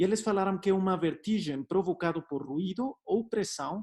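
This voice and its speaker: The recording is very clean, with a silent background. A man speaks at a fairly slow pace with ordinary pitch variation. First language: Spanish (speaking Portuguese). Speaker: doctor. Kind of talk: lecture. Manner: hesitant, many fillers.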